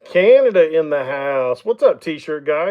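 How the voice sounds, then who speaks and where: With an Oklahoma accent, a man talks at a very slow pace while his pitch swings very widely. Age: 50s. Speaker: woodturner. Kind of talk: live stream chat. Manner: casual, conversational.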